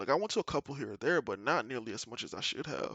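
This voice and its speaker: This man has an animated tone. His pitch sits in the medium range. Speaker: gaming streamer and vlogger. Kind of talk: personal monologue. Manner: loud.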